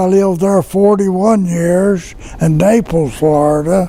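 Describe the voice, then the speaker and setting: The speaker talks at a very slow pace with ordinary pitch variation. Noticeable background noise runs underneath. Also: man. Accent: Tennessee. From Tennessee. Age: 90s. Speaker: war veteran. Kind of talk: casual chat.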